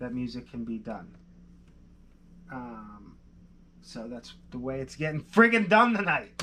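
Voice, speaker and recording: A man with an American accent speaks fairly slowly, with lively intonation, a bright, sharp tone and big swings in loudness. Long, frequent pauses break up his speech over light background noise. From Pennsylvania. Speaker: music producer. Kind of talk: live-stream tutorial. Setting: live stream. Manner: casual, thinking aloud. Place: studio.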